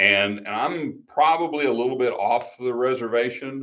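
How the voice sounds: A man speaks at a medium pitch with ordinary pitch variation. His tone is fairly bright.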